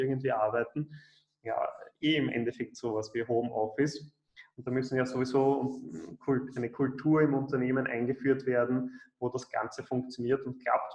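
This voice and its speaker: At a medium pitch, a man keeps a moderate pace. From Austria, Vienna. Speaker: programmer and coding trainer. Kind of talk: interview.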